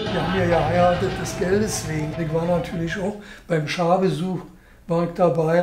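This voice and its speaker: A man talks at a high pitch and a moderate pace. Light background noise and audible room echo come through. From Berlin. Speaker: documentary interviewee. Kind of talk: interview answer. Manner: casual, chatty. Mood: relaxed, anecdotal storytelling. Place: home room.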